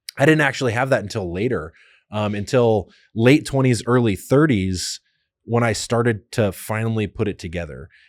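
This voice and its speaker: A man's normal speaking voice at medium pitch, with ordinary pitch variation, a moderate pace and a very clean recording over a silent background. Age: 30s. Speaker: podcast host, military veteran. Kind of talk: casual chat. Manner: conversational with frequent fillers.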